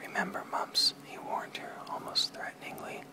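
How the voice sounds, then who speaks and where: Whispered words come at a moderate pace against noticeable background noise. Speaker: amateur ASMR reader. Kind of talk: read story. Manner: whispered, soft-spoken.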